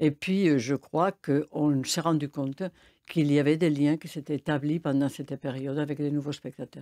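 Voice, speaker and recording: In a Spanish accent, a woman speaks at a moderate pace with a very deep, low pitch, a dark, mellow tone and fairly even intonation, on a very clean recording with a silent background and a dry, close sound with no echo. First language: Spanish (speaking French). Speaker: film festival director. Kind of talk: radio interview. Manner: hesitant, many fillers.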